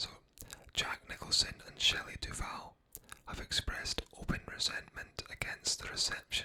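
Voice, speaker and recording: Whispering at a moderate pace, a man speaks over noticeable background noise. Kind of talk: ASMR movie trivia narration. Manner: whispered, soft-spoken.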